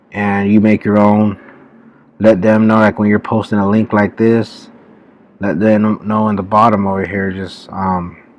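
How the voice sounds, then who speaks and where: Quiet, fairly slow speech in a monotone, flat intonation, with a dry sound and no echo. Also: man, fairly low pitch for a man. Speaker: YouTuber teaching online marketing; online business tutorial creator. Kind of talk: tutorial. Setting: public library. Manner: quiet, low-voiced. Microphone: webcam.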